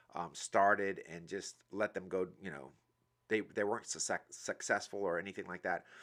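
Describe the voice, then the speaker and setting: A man with a New Orleans accent, fairly low in pitch, with fairly even intonation and a moderate pace. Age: 40s. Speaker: motivational speaker. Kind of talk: live stream monologue. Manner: hesitant, many fillers; casual.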